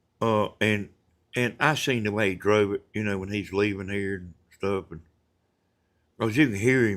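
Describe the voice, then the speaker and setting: A man with a Southern US accent talks at a moderate pace in a fairly low voice with fairly even intonation, on a very clean recording with a silent background. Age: 70s. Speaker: retired roofer and livestreamer. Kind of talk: casual livestream chat. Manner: halting, many fillers.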